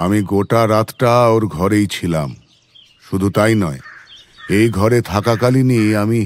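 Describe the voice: Fairly even intonation in plain reading aloud.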